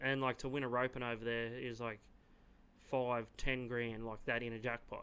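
A man with an Australian accent speaks at a moderate pace and medium pitch. His tone is bright and sharp, and his intonation monotone and flat. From Yass, New South Wales, Australia. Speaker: rodeo team roper. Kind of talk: casual chat. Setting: studio.

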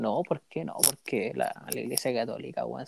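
A man speaks with a Chilean accent. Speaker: university student podcaster. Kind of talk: casual chat.

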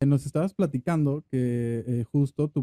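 This man's voice has a dark, mellow tone and fairly even intonation. The sound is dry and close, with no echo. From Mexico, Sinaloa. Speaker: podcast host. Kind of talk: interview.

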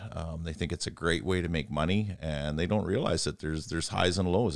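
With a Canadian accent, a man speaks in a very deep, low pitch and fairly even intonation on a very clean recording with a silent background. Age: 40s. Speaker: helicopter pilot. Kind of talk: casual chat. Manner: halting.

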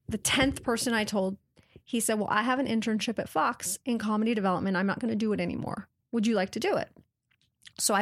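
Speaking at a fairly quick pace with an American accent, a woman with a normal speaking voice, a fairly high pitch and ordinary pitch variation keeps a very even loudness on a very clean recording with a silent background. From Washington State, US. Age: 30s. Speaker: TV network executive. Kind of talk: interview. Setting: in person, Montreal.

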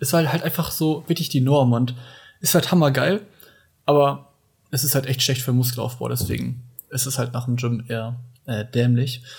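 A man speaks at medium pitch and a moderate pace, with ordinary pitch variation. His voice is somewhat breathy, and he leaves long, frequent pauses. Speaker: podcast co-host. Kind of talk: casual chat.

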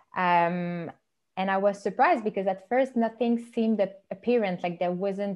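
A woman speaks at a medium pitch and a moderate pace with ordinary pitch variation. Her loudness swings widely. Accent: Quebec. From Quebec, Montreal. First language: French. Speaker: podcast host. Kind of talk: casual interview chat.

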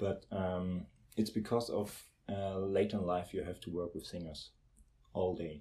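On a very clean recording with a silent background, a man with a German accent speaks at a fairly slow pace in a very deep, low pitch, with a dark, mellow tone and fairly even intonation. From Germany, Lübeck. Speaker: conducting student. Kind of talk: casual interview.

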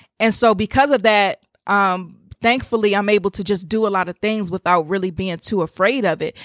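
A woman speaks in a normal speaking voice at a moderate pace, her pitch medium with ordinary variation. The sound is dry and close with no echo. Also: very clean recording, silent background. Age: 20s. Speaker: podcast host, faith and business coach. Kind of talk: casual devotional monologue.

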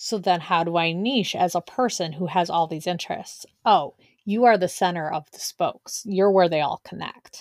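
A woman's unremarkable speaking voice, fairly low in pitch, with ordinary pitch variation, big swings in loudness, a moderate pace and hardly any pauses, on a very clean recording with a silent background and a dry, close sound with no echo. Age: 40s. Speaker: podcast co-host and business coach. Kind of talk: casual chat.

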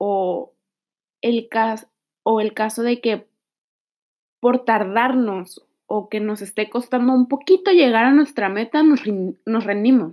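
On a very clean recording with a silent background, a woman with a fairly high pitch talks at a very slow pace, with ordinary pitch variation and long, frequent pauses. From Mexico. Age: 20s. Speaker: nutrition student and podcaster. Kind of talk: solo podcast monologue.

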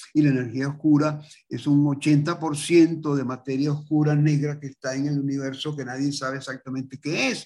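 With hardly any pauses, a man talks at a fairly high pitch in a dark, mellow tone. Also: moderate pace. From Venezuela. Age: 80s+. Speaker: multimedia artist. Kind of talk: interview. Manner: animated.

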